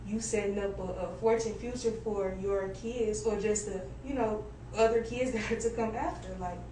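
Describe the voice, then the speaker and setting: A woman with an American accent at a fairly high pitch and moderate pace, with audible room echo and noticeable background noise. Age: 20s. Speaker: content creator and entrepreneur. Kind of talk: radio interview. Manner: animated.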